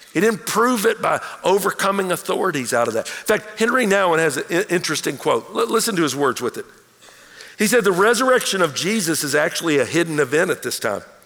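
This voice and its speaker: Noticeable background noise sits behind a man's high voice. He talks at a very fast pace with lively intonation. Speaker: pastor. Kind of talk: sermon. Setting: church. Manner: animated.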